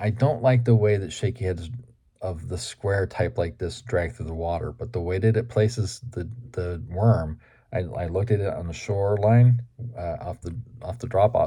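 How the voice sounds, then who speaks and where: A man with a fairly low pitch and a dark, mellow tone speaks somewhat breathily at a moderate pace, with ordinary pitch variation and big swings in loudness, in a very clean recording with a silent background. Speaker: fishing YouTuber. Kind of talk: casual vlog talk.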